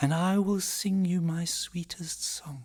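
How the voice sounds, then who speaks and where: Fairly slow delivery in a put-on character voice pitched in the middle range. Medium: read story.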